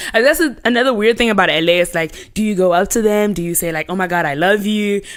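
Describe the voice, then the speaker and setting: Music plays behind a woman who talks at a very fast pace in an animated tone, her medium pitch showing ordinary variation. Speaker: pop culture correspondent. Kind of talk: casual chat. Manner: loud.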